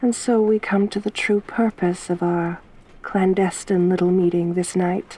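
Soft-spoken and menacing in tone, a woman at medium pitch talks at a fairly slow pace in a dark, mellow tone with monotone, flat intonation, very even loudness, and a dry sound with no echo. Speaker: ASMR roleplay performer. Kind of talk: asmr roleplay, intimate whispery-soft in-character monologue. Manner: soft-spoken, slow and teasing, menacing yet flirtatious.

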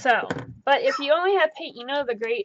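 Light background noise beneath a woman speaking. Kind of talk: casual tutorial chat. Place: home room.

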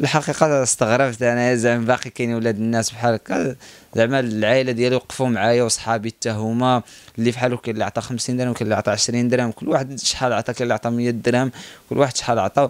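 In a dry sound with no echo, a man talks at a very fast pace with monotone, flat intonation. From Morocco, Guelmim; Morocco. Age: 20s. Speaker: long-distance cyclist. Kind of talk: personal account interview. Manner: halting, many pauses and fillers. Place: cafe. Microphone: handheld.

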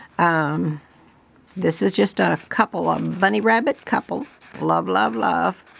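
Fairly slow delivery with very wide pitch swings, very even loudness and a dry, close sound with no echo. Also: woman, very deep, low pitch for a woman. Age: 70s. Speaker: junk journal crafter. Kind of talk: tutorial. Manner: rambling, halting with fillers.

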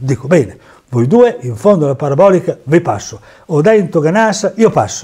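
Against a quiet background, a high-pitched man with a dark, mellow tone speaks at a fairly quick pace with very wide pitch swings. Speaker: former amateur racing driver and memorabilia dealer. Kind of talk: storytelling over photos. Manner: animated. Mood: proud, enthusiastic. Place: home room. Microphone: lapel.

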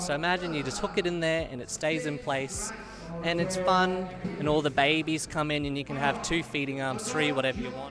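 A man with a fairly high pitch and ordinary pitch variation at a moderate pace, in a dry sound with no echo and noticeable background noise. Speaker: aquarium products maker. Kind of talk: interview answer. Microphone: handheld.

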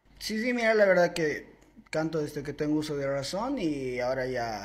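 This man has a somewhat breathy voice. His intonation is lively. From Bolivia, Santa Cruz. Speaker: singer and social media creator. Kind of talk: casual interview. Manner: reserved, few words. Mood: friendly, grateful. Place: studio. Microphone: handheld.

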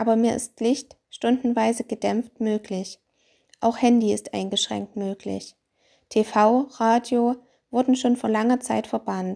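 A woman's dark, mellow voice, fairly high in pitch, at a fairly slow pace, in a very clean recording with a silent background. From Austria. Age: 30s. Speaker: chronically ill patient. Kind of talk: testimony.

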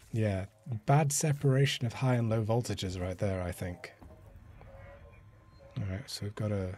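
A somewhat breathy man with a dark, mellow tone and ordinary pitch variation, at a moderate pace with long, frequent pauses. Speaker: let's play gamer. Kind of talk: casual gameplay commentary.

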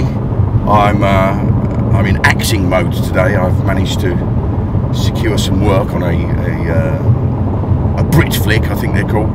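Over loud background noise, a man talks at a very slow pace with ordinary pitch variation, the sound dry with no echo. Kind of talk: casual vlog chat. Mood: wry, self-mocking humour. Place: car. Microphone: camera far.

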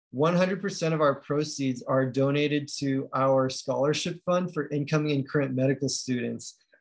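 A man with a normal speaking voice talks at a moderate pace, his fairly high pitch carried on a fairly even intonation. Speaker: medical student and book co-editor. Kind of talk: presentation. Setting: video call.

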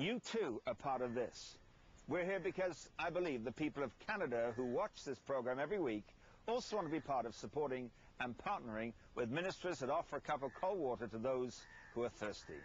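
A man at a fairly quick pace, with a dry sound and no echo. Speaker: television ministry host. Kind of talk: televangelist appeal to camera. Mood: earnest, persuasive. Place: garden. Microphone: lapel.

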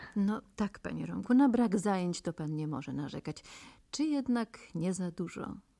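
Her voice sits at a medium pitch with a dark, mellow tone, and this woman's pitch swings very widely as she talks at a moderate pace. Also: quiet background. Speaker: radio interviewer. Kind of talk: radio interview.

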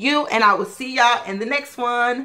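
The voice is raised and projected, with a bright, sharp tone. Its pitch variation is ordinary. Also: woman. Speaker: beauty vlogger. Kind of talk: casual haul video. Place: home room. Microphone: webcam.

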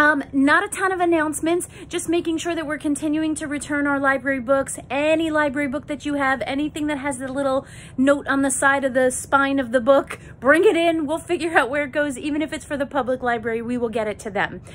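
A woman's high-pitched voice at a fairly quick pace, with ordinary pitch variation and light background noise. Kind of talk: casual morning announcements to students. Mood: warm, moved, enthusiastic. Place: office. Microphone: phone near.

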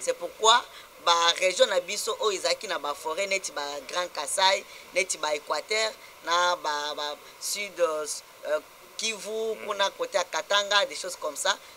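Light background noise accompanies a man speaking at a very slow pace. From DR Congo. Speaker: interviewee, community spokesman. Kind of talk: TV talk show interview. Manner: halting. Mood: earnest, animated complaint.

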